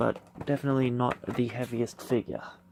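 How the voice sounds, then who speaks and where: There is noticeable background noise behind this man as he talks. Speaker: toy unboxing youtuber. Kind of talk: unboxing video.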